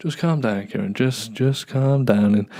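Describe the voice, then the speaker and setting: With an English Midlands accent, a man speaks at a medium pitch and lively intonation. Background noise is noticeable. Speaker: podcaster and YouTuber. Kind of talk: casual solo monologue. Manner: halting, many fillers and repeats; fast, ranting without pausing for breath.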